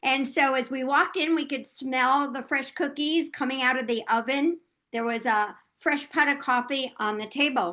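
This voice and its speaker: A woman's raised, projected voice, high-pitched and bright and sharp, with ordinary pitch variation at a fairly slow pace over a quiet background. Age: 70s. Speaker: author and former healthcare worker. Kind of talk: interview testimony.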